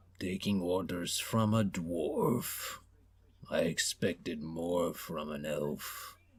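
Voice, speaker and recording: Using a put-on character voice, a man talks at a very slow pace. His voice is raspy and very deep, with a very low pitch. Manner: sneering, contemptuous.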